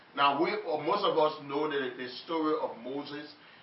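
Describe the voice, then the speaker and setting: An animated man at a fairly high pitch and moderate pace, ordinary pitch variation, with noticeable background noise. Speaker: preacher. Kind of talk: sermon. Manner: animated, call-and-response; halting, repeats words.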